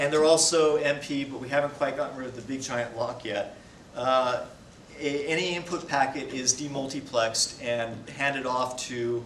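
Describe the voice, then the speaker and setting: A man speaks at a fairly quick pace with medium pitch and fairly even intonation. Audible room echo and noticeable background noise surround him. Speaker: software developer presenting a talk. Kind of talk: technical talk with Q&A. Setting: presentation to an audience. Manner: fast; hesitant, many fillers.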